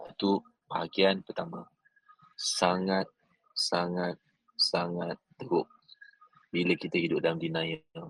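A man speaks at a very slow pace with long, frequent pauses, the sound dry and close with no echo. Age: 40s. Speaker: business coach. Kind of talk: motivational talk. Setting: airport lounge. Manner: animated.

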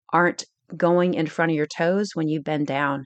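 Recorded dry and close with no echo over a quiet background, a woman with fairly low pitch speaks at a moderate pace in an unremarkable speaking voice. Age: 40s. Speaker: fitness coach podcast host. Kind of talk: casual instructional monologue. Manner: conversational, frequent self-corrections and repetitions.

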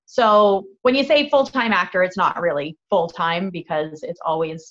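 A woman with an Ontario accent speaks with lively intonation. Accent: Canadian (Ontario). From Canada, Niagara region (Fort Erie, Ontario). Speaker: actress and singer-songwriter. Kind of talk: casual chat.

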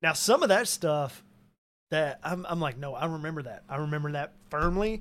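A man speaks in a normal speaking voice with an American accent. His pitch is fairly high, with ordinary variation, at a moderate pace. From Arkansas, US South (Cabot). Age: 40s. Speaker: musician and actor. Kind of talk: casual chat.

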